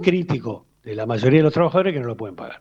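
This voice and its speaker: A man talks with very wide pitch swings. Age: 60s. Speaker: trade union leader. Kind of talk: radio interview. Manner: hesitant, many fillers.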